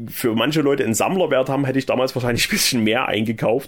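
This man has an unremarkable speaking voice, medium in pitch, with ordinary pitch variation. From eastern Germany, Saxony. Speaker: podcast host. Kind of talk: casual chat.

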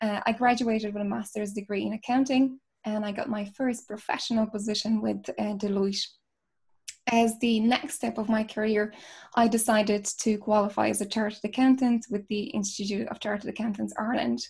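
Fairly quick and monotone, a woman speaks in a somewhat breathy, fairly high voice. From Poland. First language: Polish. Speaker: chartered accountant and youth advocate. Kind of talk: interview.

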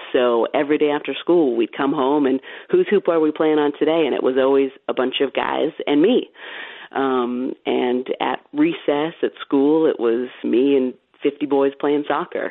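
Speaking at a fairly slow pace, a woman with an American accent uses a very deep, low pitch and fairly even intonation. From California. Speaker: sports broadcaster. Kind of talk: casual interview chat.

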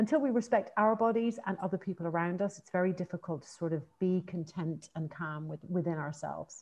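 Fairly quick in pace, a woman speaks in a somewhat breathy voice with a dark, mellow tone. Her pitch is medium, with ordinary variation. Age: 40s. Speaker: author. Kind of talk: interview.

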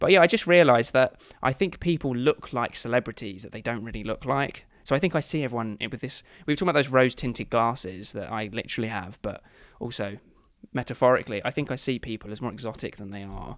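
On a very clean recording with a silent background, a man with a medium pitch talks at a very fast pace, his intonation lively and his loudness swinging widely. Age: 20s. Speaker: podcast host. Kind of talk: casual chat. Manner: joking, laughs often.

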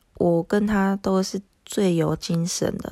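A woman speaks very slowly with a Japanese accent, her dark, mellow tone and fairly even intonation captured in a dry, close recording with no echo. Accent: Japanese-accented Mandarin. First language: Japanese (speaking Chinese). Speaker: podcaster, homeschooling mother. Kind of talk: casual monologue. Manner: halting, many fillers.

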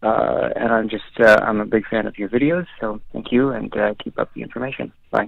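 Hardly pausing at all, a man talks at a fairly quick pace. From Ontario, Canada. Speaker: caller aspiring police applicant. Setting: phone call.

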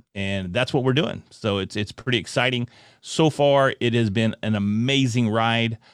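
The voice moves at a moderate pace with ordinary pitch variation, recorded dry and close with no echo against a quiet background. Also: man. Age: 40s. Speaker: podcaster and speaker. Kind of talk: casual interview. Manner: high energy.

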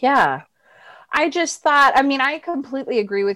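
In a quiet background, a woman with an American accent speaks at a moderate pace with very wide pitch swings. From Florida, US. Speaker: actress and writer. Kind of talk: interview.

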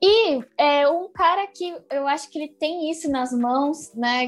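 A woman speaks with ordinary pitch variation. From Brazil, São Bernardo do Campo (São Paulo). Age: young. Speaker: clarinetist and singer. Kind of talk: casual interview.

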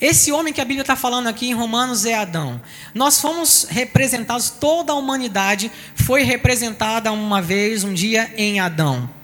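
Over noticeable background noise, a man with an extremely high pitch talks at a moderate pace using lively intonation. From Bahia, Salvador. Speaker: pastor. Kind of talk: sermon.

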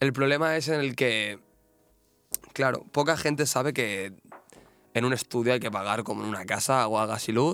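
Over music in the background, a man with a medium-pitched voice talks at a moderate pace with ordinary pitch variation and long, frequent pauses. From Catalonia, Spain. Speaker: tattoo artist. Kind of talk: casual chat.

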